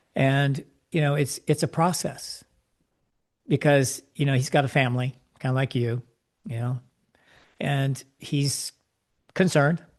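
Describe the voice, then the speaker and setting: A man's fairly high, somewhat breathy voice at a fairly slow pace, with fairly even intonation, long, frequent pauses and a dry, close sound with no echo. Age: 70s. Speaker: life coach. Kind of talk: interview.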